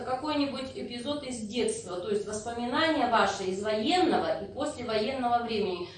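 A woman's lively intonation at a moderate pace, with hardly any pauses, audible room echo and light background noise. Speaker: interviewer. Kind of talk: interview about wartime childhood. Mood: polite, respectful. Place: hall. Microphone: camera far.

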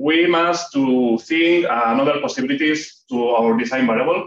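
A man speaks with a Spanish accent. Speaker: PhD student presenting research. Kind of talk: academic seminar talk. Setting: seminar room with audience. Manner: hesitant, with frequent fillers.

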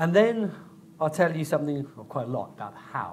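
A man speaks in a somewhat breathy voice. Light background noise sits behind him. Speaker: guest lecturer. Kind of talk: lecture. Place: hall. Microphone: podium.

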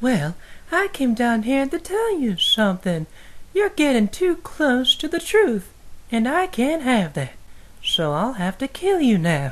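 A female-sounding voice with a high pitch and very wide pitch swings speaks at a fairly slow pace over clear background noise. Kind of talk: comic overacting parody. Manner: crude, menacing, sleazy.

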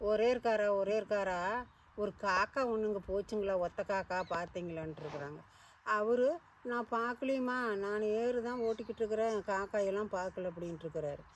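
A woman with a Kongu accent and ordinary pitch variation. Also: medium pitch for a woman. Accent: Kongu Tamil. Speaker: storyteller. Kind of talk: folk story told to children. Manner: casual, conversational.

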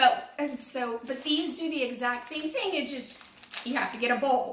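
A woman's raised, projected voice carries a bright, sharp tone and ordinary pitch variation, with light background noise and audible room echo. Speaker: home cooking vlogger. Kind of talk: tutorial. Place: kitchen. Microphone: camera far.

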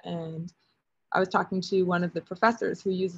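At a fairly quick pace, a woman speaks in a somewhat breathy voice with a medium pitch. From Alberta, Canada. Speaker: artist in residence. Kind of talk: artist talk presentation. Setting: video call from a lithography studio.

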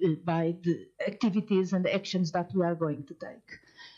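A woman talks in a Portuguese accent. The background is quiet. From Portugal. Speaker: AI ethics professor. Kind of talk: lecture. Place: hall. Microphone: headset.

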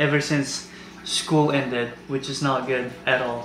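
A man speaking at a fairly slow pace with fairly even intonation, audible room echo and light background noise. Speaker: fitness vlogger. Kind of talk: casual vlog chat. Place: kitchen.

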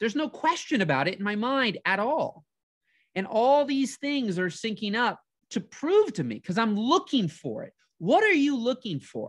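A man's extremely high-pitched, energetic voice with very wide pitch swings, a moderate pace and a quiet background. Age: 30s. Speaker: motivational coach and video host; motivational coach, video host. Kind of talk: motivational monologue. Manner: energetic, conversational with fillers. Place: home room.

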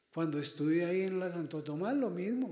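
A man talks at a high pitch with lively intonation. The background is quiet, though room echo is audible. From Colombia, Boyacá; Colombia. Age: 60s. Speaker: priest. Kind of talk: address to students; prayer. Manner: animated. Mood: warm, pastoral. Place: hall.

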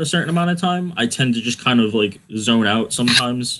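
Light background noise sits behind a man's voice. His tone is bright and sharp, with ordinary pitch variation. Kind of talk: casual interview answer. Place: home room. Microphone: earbuds.

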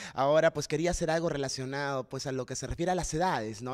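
A man's pitch shifts in an ordinary way over a quiet background. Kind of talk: panel talk answering about a play. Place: stage. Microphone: handheld.

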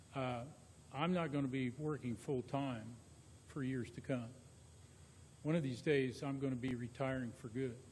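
A man with an American accent talks at a moderate pace in a medium, somewhat breathy voice with fairly even intonation. Long, frequent pauses stand out against audible room echo. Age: 60s. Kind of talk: public meeting discussion. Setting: council meeting room with microphones.

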